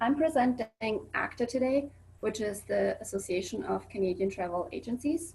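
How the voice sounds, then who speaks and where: With a Swiss accent, a woman speaks at a moderate pace, somewhat breathy, with lively intonation. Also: fairly high pitch for a woman. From Switzerland. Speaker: student presenter. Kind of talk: presentation. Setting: video call.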